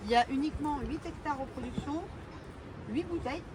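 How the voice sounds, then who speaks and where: A woman at a moderate pace with ordinary pitch variation, amid audible room echo and noticeable background noise. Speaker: sommelier giving a wine tasting. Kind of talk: guided wine tasting talk.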